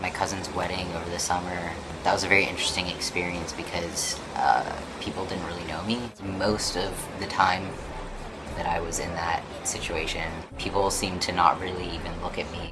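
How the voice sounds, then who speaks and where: Over music in the background, a man with a very deep, low pitch talks in a monotone, flat intonation with big swings in loudness. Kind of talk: casual talk to camera. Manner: whispered, quiet.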